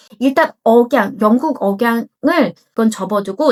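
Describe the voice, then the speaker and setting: A normal speaking voice from a woman, fairly high in pitch, with lively intonation. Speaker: English coach. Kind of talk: casual talk to camera.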